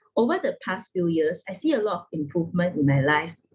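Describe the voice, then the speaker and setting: Somewhat breathy, the voice moves at a moderate pace with lively intonation. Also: woman. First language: not English. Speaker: network marketing distributor. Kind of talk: testimony.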